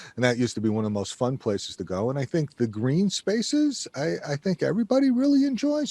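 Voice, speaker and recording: This man speaks with a strong New York accent and very wide pitch swings. The sound is dry and close, with no echo. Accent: thick New York. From New York City area (Queens, Long Island). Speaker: energy consultant. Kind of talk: podcast interview.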